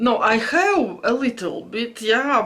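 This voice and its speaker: Over noticeable background noise, a woman speaks very slowly with lively intonation. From Latvia (Latgale). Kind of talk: casual talk to camera. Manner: hesitant.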